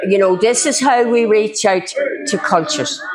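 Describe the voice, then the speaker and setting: This is a woman speaking. She has a Northern Irish accent. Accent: South Armagh Irish. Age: 60s. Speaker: speaker on local literary heritage. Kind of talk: public talk.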